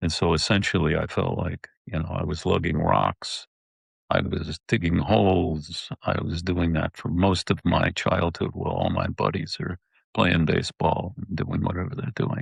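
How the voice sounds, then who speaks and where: A man with a very deep, low pitch talks with lively intonation and vocal fry, in a dry, close sound with no echo. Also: moderate pace. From upstate New York. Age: 70s. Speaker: war veteran. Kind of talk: interview. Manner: halting.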